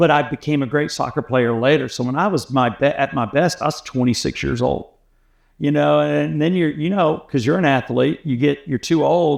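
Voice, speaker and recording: In a plain, everyday voice with an American accent, the speaker talks at a moderate pace with ordinary pitch variation over a quiet background. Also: man, fairly high pitch for a man. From US South, Atlanta. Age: 60s. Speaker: radio host. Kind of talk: casual chat.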